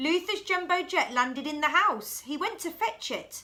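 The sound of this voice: The tone is bright and sharp. It moves at a fairly slow pace with lively intonation. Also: woman, high pitch for a woman.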